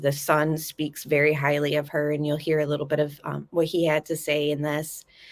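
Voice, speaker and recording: A soft-spoken woman at a very deep, low pitch, at a moderate pace. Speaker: true crime YouTuber. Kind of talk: live stream commentary. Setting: home kitchen and living room.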